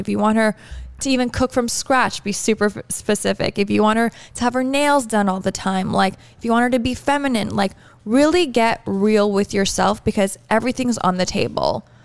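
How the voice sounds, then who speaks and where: This woman has an unremarkable speaking voice with a fairly high pitch. She talks at a fairly quick pace with ordinary pitch variation. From Canada (Toronto). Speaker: podcast host. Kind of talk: casual chat.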